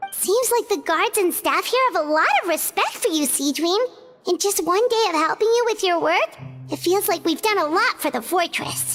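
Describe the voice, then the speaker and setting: A squeaky, extremely high-pitched put-on character voice at a moderate pace, with clear music in the background. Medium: game stream. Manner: chatty, lively.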